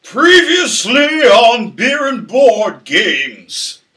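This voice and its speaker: Using a put-on character voice, a man speaks at an extremely high pitch. His pace is very slow. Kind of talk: old-timey, late 1800s style.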